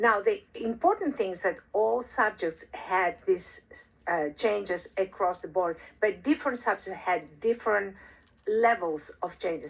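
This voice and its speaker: A woman at a moderate pace. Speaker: researcher presenting own study. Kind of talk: conference presentation. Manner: halting, many fillers.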